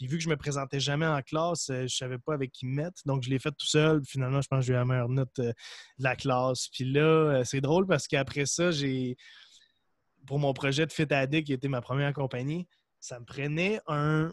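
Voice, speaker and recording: With an ordinary speaking voice, a man of fairly high pitch talks at a fairly quick pace and fairly even intonation, the sound dry and close with no echo. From Quebec, Gaspésie (Percé). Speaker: entrepreneur, supplement company cofounder and podcaster. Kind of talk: casual interview.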